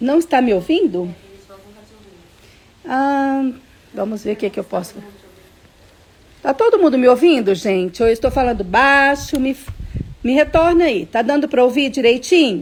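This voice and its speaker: Lively intonation broken by long, frequent pauses. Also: woman, high pitch for a woman. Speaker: children's Bible teacher. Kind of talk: online Bible lesson for kids. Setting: livestream. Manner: slow, patient.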